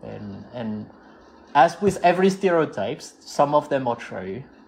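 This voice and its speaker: A man talks with a French accent and very wide pitch swings. The background is quiet. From southwest France. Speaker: scuba diver. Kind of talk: casual chat.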